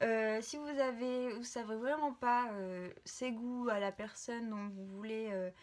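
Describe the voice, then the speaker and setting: Here is a woman speaking at a very slow pace. Her pitch variation is ordinary. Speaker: vlogger. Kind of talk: casual vlog. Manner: hesitant, many fillers.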